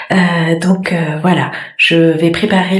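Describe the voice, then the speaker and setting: Soft-spoken, a woman talks at a medium pitch. Audible room echo and noticeable background noise surround her voice. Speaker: fashion vlogger. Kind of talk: casual vlog. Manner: hesitant, many fillers.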